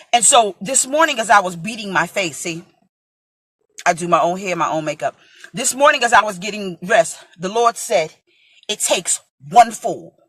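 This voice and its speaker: At a moderate pace, a woman of medium pitch speaks with very wide pitch swings, big swings in loudness and long, frequent pauses. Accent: American. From New York (Brooklyn). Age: 40s. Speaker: preacher. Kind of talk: sermon.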